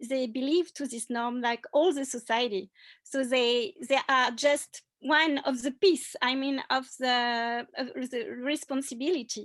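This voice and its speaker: A fairly slow delivery in a French accent, on a very clean recording with a silent background. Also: woman. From France. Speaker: cultural anthropologist. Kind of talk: panel discussion. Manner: halting.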